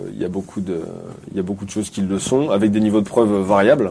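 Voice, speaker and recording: A man talks at a very fast pace with a fairly low pitch. Noticeable background noise sits behind him. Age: 30s. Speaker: physiotherapist. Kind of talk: casual chat.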